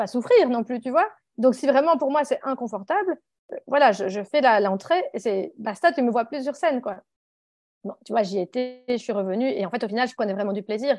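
A woman talks fairly quickly in a high voice with lively intonation. Music plays behind her. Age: 40s. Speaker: author and activist. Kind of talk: interview. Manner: halting.

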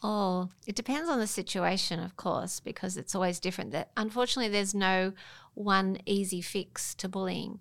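On a very clean recording with a silent background, a woman with an unremarkable speaking voice talks at a moderate pace, her medium pitch set in fairly even intonation. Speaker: mother and high school teacher. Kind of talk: casual chat. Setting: studio.

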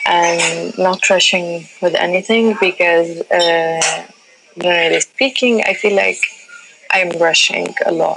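In a North African accent, the voice moves at a fairly slow pace with very even loudness. Noticeable background noise runs throughout. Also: woman. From Libya. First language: Tamazight. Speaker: artist and art curator. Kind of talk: interview. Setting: phone call from a cafe. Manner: halting, many fillers.

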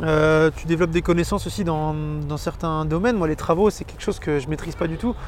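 A man's fairly high voice with hardly any pauses, over noticeable background noise. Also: fairly even intonation, fairly quick pace. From Brittany, France. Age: 20s. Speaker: former police officer and property investor. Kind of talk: interview.

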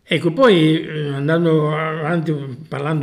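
A man with a fairly high pitch. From Sicily. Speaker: traveller and hiker. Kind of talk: casual chat. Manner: halting.

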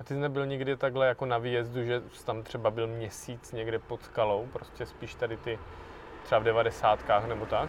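A man's medium-pitched voice at a fairly quick pace, flat and monotone in intonation, with big swings in loudness. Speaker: climbing podcast host. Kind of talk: podcast outro; casual interview.

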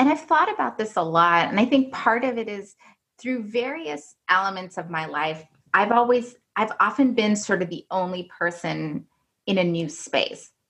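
A woman with a medium pitch and lively intonation has an unremarkable speaking voice. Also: moderate pace. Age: 40s. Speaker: business development manager at an engineering firm. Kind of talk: interview conversation.

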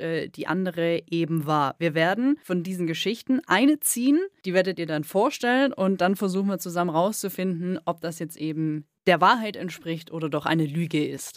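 A woman's normal speaking voice at a moderate pace, with lively intonation and a dry, close sound with no echo. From Swabia, southern Germany. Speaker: radio host. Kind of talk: podcast interview.

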